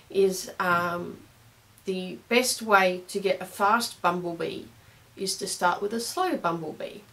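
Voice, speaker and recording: With an Australian accent, a woman talks fairly slowly at a medium pitch. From Australia, Brisbane. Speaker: clarinet teacher. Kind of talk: tutorial. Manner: casual, hesitant with fillers.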